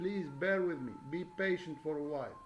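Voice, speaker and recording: A man with a non-native accent talks over background music, with audible echo from the room. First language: not English. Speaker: religious video lecturer. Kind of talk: monologue lecture. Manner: halting, many fillers.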